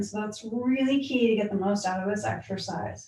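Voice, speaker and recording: The tone is calm. Noticeable background noise and audible room echo are present. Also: woman. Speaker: yoga instructor. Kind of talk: guided yoga class. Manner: calm, instructive.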